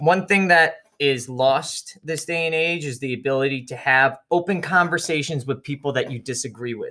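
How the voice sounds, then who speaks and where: With an ordinary speaking voice, a man in a fairly high pitch talks at a moderate pace with ordinary pitch variation and hardly any pauses. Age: 30s. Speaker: podcast co-host, military veteran. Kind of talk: casual chat.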